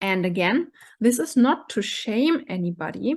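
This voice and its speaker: A woman with a German accent talks at a very slow pace, her fairly high pitch moving in very wide swings. The background is quiet. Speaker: coach / vlogger. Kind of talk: monologue to camera. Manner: halting, with fillers.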